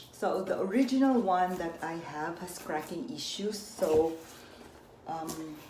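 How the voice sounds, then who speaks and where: Over noticeable background noise and audible room echo, a woman with a Filipino accent speaks at a very slow pace, at medium pitch, with lively intonation. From Philippines. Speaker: unboxing vlogger. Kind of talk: casual unboxing vlog.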